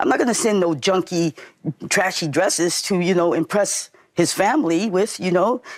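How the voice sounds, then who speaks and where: A woman's medium-pitched voice at a moderate pace, with ordinary pitch variation and very even loudness, on a very clean recording with a silent background. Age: 60s. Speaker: defendant in small claims court. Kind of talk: courtroom testimony. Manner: animated.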